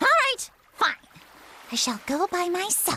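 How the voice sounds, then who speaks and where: An extremely high, put-on character voice swings very widely in pitch. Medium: video game. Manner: imperious, petulant.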